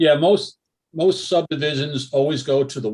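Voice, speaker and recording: Somewhat breathy, a man talks with ordinary movement in his pitch. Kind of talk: public meeting presentation. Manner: fast.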